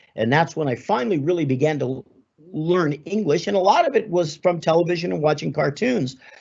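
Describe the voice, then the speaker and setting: A man with an American accent, fairly high-pitched, fairly quick and lively in intonation. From Los Angeles, Southern California. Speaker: sports broadcaster. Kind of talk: guest talk.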